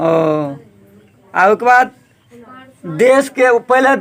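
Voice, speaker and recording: A man's voice sits extremely high in pitch, with ordinary pitch variation. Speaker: local news reporter. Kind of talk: interview questions.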